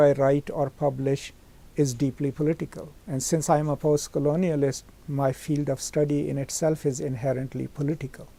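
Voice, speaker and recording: A man's fairly high-pitched voice with a Pakistani accent, a dark, mellow tone, and a moderate pace. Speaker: professor. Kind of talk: interview.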